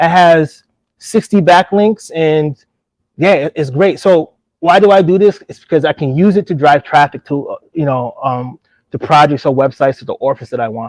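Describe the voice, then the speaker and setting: In a New York accent, a man with a fairly high voice is heard in a dry, close recording with no echo. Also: ordinary pitch variation, moderate pace. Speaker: AI entrepreneur presenter. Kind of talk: live workshop presentation with screen demo. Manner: casual, conversational.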